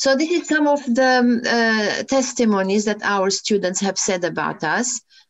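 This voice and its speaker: A woman's fairly high, ordinary speaking voice at a fairly slow pace, with lively intonation, very even loudness and hardly any pauses. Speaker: university lecturer and programme leader. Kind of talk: lecture. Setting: video call.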